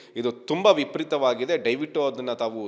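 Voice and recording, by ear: At a moderate pace, a man speaks at a medium pitch with lively intonation.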